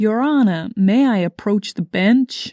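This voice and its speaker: A woman's put-on character voice in an American accent, fairly high-pitched and fairly slow. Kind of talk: formal courtroom address.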